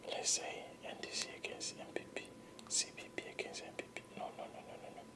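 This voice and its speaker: Fast-paced whispering in a calm, soothing tone, with noticeable background noise. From Ghana. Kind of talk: whispered ASMR political commentary. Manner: whispered, calm, soothing.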